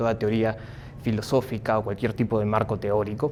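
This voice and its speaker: A man is speaking. His pace is fairly quick. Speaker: psychologist and philosophy lecturer. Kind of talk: lecture. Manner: speaking up to project.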